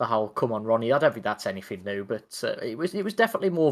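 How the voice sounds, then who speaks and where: A man talks at a medium pitch. The background is silent and the recording very clean. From West Midlands, England (Wolverhampton). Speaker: podcast co-host. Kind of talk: casual chat.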